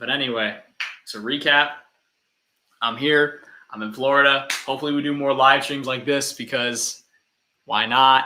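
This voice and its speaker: A man's fairly high voice, bright and sharp in tone, at a moderate pace, with big swings in loudness, flat monotone intonation and long, frequent pauses. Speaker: comedy skit creator. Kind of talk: live stream chat. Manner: casual, stammering repeats.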